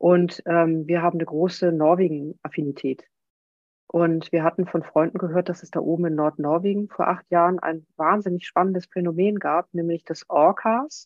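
Speaking at a moderate pace, a woman has a fairly low pitch and fairly even intonation. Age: 50s. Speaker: whale researcher and coach. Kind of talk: casual interview. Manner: soft-spoken.

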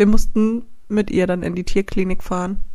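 A woman with a normal speaking voice talks at a moderate pace. Her pitch is medium, with ordinary variation. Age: 20s. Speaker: dog photographer and co-host. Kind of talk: casual chat.

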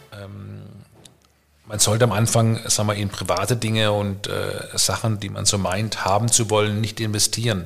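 A man's somewhat breathy, fairly low voice, monotone and flat, at a moderate pace. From Germany, Karlsruhe (Baden). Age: 50s. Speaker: entrepreneur and networker. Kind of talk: casual chat. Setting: at home dining room, evening with wine.

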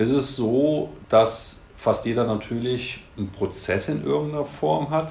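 With a slight Rhineland accent, a man of medium pitch speaks very slowly with very wide pitch swings and hardly any pauses, amid audible room echo. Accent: slight Rhineland lilt. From Cologne, Rhineland, Germany. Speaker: compliance data expert, business unit head. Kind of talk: interview. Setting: studio.

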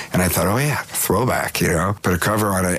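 A man with a Californian accent, very deep and low in pitch with ordinary variation, over noticeable background noise. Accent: Californian American English. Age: 50s. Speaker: touring musician. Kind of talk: interview.

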